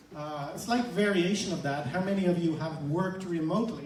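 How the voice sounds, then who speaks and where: A man speaks at a moderate pace with ordinary pitch variation, with audible room echo and noticeable background noise around him. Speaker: company representative. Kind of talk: presentation to live audience. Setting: stage with audience.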